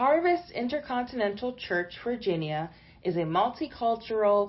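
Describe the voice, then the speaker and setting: A woman talks at a moderate pace with lively intonation. She has a normal speaking voice. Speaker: announcer. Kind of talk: scripted announcement.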